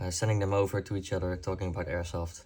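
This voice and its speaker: A man with a non-native accent speaks at a fairly low pitch, somewhat breathy. The recording is very clean, with a silent background. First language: not English. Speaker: airsoft YouTuber. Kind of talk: casual talk to camera. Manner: halting, many fillers.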